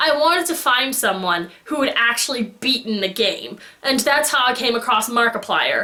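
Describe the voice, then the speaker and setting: Her high-pitched voice sounds animated, with lively intonation and very even loudness against noticeable background noise. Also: moderate pace, hardly any pauses. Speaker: fandom vlogger. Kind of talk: casual vlog monologue.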